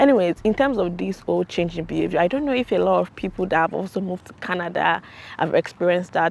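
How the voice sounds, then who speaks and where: A woman with a Nigerian accent talks at a very fast pace. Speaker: YouTuber, international student. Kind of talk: casual vlog monologue. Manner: animated.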